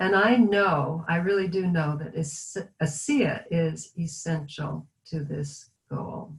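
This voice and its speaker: The pace is very slow. A woman speaks in a somewhat breathy voice. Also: ordinary pitch variation. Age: 60s. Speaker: product user giving testimonial. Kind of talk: testimony.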